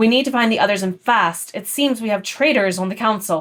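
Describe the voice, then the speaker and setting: A woman uses a put-on character voice at medium pitch. She moves at a fairly quick pace. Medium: read story. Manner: harsh, aggressive.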